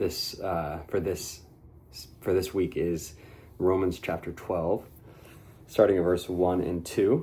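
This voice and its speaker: Quietly and at a fairly slow pace, a man speaks in a very deep, low voice that is somewhat breathy with a dark, mellow tone. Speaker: men's ministry leader. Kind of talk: devotional talk. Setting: at home. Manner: speaking quietly.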